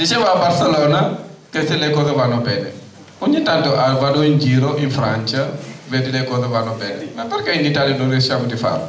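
Over light background noise and audible room echo, a man with a fairly high pitch speaks at a fairly quick pace with ordinary pitch variation. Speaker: tenants' union delegate. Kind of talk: conference speech. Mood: indignant, earnest. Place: hall. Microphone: handheld.

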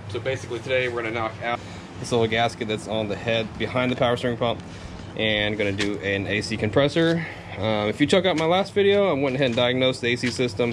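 Noticeable background noise sits behind a man talking at a very fast pace with ordinary pitch variation. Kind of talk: tutorial. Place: garage. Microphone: phone near.

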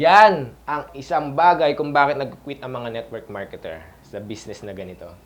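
A fairly high male voice with very wide pitch swings. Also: moderate pace. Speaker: network marketing coach. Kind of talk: tutorial. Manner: halting.

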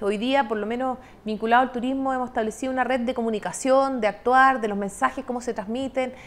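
The intonation is fairly even. Words come at a fairly quick pace. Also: woman. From southern Chile, Los Lagos region. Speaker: government tourism official; guest. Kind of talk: broadcast interview. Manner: hesitant with many fillers. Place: studio. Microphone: lapel.

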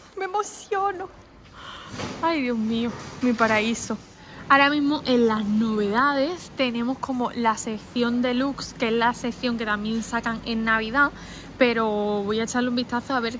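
A woman at a fairly slow pace, with ordinary pitch variation and light background noise. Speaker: food vlogger. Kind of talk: casual vlog chat. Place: shop. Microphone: phone near.

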